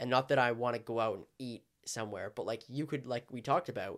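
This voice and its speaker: A plain, everyday voice moves along at a fairly quick pace, its intonation fairly even. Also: man. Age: 20s. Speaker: realtor. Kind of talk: casual chat.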